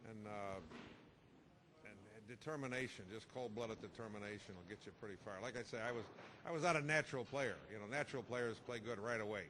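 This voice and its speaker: A man talks at a very fast pace in a medium pitch, his tone bright and sharp. His loudness swings widely while his pitch varies in an ordinary way. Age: 60s. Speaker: pool player. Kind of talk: interview. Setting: TV interview. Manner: casual, halting with repetitions.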